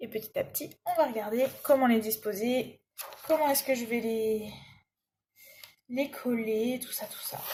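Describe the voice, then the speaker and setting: A woman's high-pitched voice, fairly slow and fairly even in intonation, with big swings in loudness and long, frequent pauses. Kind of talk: casual talk to camera while crafting. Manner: chatty.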